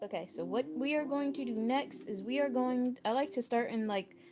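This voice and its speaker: Music plays in the background as a woman speaks at a fairly high pitch. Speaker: crochet livestreamer. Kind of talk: livestream craft tutorial. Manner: fast; casual, chatty.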